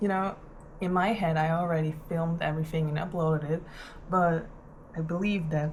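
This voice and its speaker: Somewhat breathy, very deep and low female voice with monotone, flat intonation and audible room echo. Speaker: vlogger. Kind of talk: casual vlog monologue. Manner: slow; halting, many fillers.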